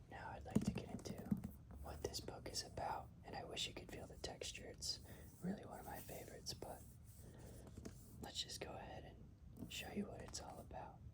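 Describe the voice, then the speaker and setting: A whisper at a moderate pace, broken by long, frequent pauses. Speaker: ASMR reader. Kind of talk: casual talk to camera. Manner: whispered.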